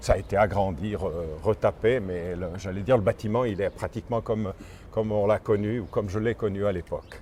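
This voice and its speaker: His tone is dark and mellow. The man speaks at a fairly quick pace with fairly even intonation. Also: fairly low pitch for a man. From Switzerland, Valais (Sierre). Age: 70s. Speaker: tour guide. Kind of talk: interview walking tour. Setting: outdoors. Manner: halting.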